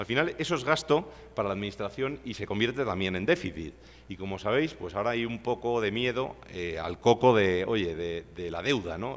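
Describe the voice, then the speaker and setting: A man speaks with lively intonation. His pitch is fairly low. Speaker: civil engineer, seminar speaker. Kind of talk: lecture. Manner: fast.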